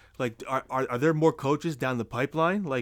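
A man speaks fairly quickly. The rise and fall of his pitch is ordinary. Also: very clean recording, silent background. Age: 30s. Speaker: sports podcast co-host. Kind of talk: casual chat. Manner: animated.

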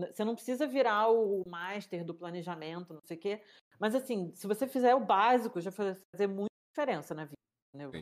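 A woman with an ordinary speaking voice talks at a fairly quick pace and medium pitch. Her intonation is lively and her loudness swings widely. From Rio de Janeiro, Brazil. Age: 30s. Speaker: cook and food entrepreneur. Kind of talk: casual interview chat.

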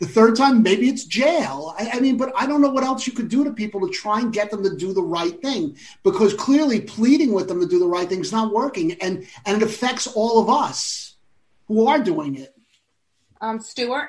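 High pitch for a man, moderate pace and lively intonation. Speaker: entertainment news panelist. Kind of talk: casual roundtable chat. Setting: video call. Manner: animated.

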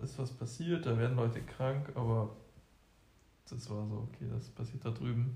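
Keeping a moderate pace, a man speaks at medium pitch with monotone, flat intonation. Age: 20s. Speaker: co-host, engineering student. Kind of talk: casual chat.

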